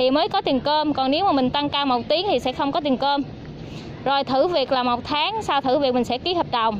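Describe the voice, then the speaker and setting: Over light background noise, a woman with a high pitch talks at a moderate pace and ordinary pitch variation in a dry sound with no echo. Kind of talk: briefing to job applicants. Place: street.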